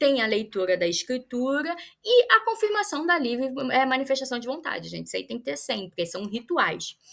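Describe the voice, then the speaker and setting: A woman speaks in a high pitch with a bright, sharp tone and lively intonation. The recording is very clean with a silent background. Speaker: lawyer. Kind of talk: lecture. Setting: pre-recorded talk for workshop. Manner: fast.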